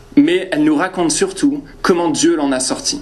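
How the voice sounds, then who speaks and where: A man with a slight northern French accent speaks at a fairly slow pace, with audible room echo and noticeable background noise. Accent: slight northern French (ch'ti). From northern France. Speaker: preacher. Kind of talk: personal anecdote; sermon. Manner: hesitant, many fillers.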